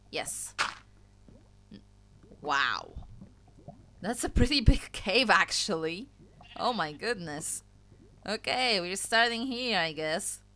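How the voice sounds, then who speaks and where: A woman with a medium pitch and a bright, sharp tone speaks at a very slow pace, with lively intonation and vocal fry. Long, frequent pauses and big swings in loudness run through her speech. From Poland. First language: Polish. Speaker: gaming YouTuber. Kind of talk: gameplay commentary. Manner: casual, chatty.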